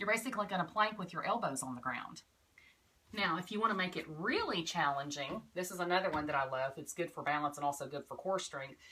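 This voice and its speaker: Over noticeable background noise, a woman talks at a very fast pace with a fairly low pitch and lively intonation. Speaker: yoga and witchcraft vlogger. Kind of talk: casual tutorial. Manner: quiet.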